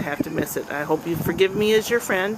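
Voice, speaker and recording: Noticeable background noise runs under a woman's voice. She talks at a fairly quick pace with fairly even intonation. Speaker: amateur videographer filming a community event. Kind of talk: casual video diary narration to a friend. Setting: outdoors.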